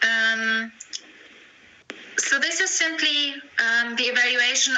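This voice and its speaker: Amid audible room echo and noticeable background noise, a woman speaks at a high pitch. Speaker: university tutor. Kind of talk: online tutorial session. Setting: video conference. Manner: slow with many fillers.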